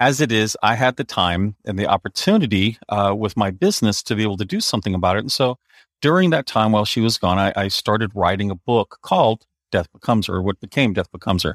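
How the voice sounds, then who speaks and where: With ordinary pitch variation, a man with a fairly low voice talks at a very fast pace in a very clean recording with a silent background. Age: 50s. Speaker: author. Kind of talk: interview. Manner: halting.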